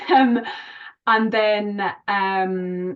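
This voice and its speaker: A woman in a Scottish accent talks with fairly even intonation. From Scotland. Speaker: general practitioner. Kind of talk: online clinical discussion.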